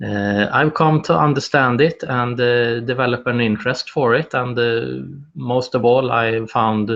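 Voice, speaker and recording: A man with a Swedish accent, medium pitch, fairly even intonation and a fairly slow pace. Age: 30s. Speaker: wellbeing activist, video host. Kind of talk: live solo presentation. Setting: live video broadcast. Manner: halting, many fillers.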